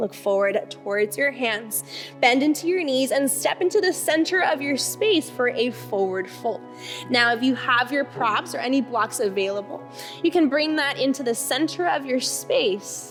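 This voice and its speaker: A woman speaks at a moderate pace with very even loudness while music plays in the background. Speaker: yoga instructor. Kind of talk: guided restorative yoga class instruction.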